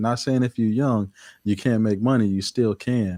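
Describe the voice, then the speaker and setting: Against a quiet background, a man's dark, mellow voice comes through dry and close with no echo, his intonation fairly even. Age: 30s. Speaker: portrait photographer. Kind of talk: casual chat.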